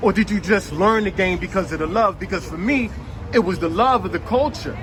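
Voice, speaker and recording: Speaking with a New York accent, a man talks at a high pitch and a fairly quick pace. Noticeable background noise runs underneath. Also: ordinary pitch variation. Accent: sounds like a New Yorker. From Washington DC. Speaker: hip hop interviewer. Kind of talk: interview.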